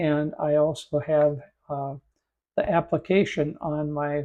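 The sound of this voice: A croaky voice at a slow pace. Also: man.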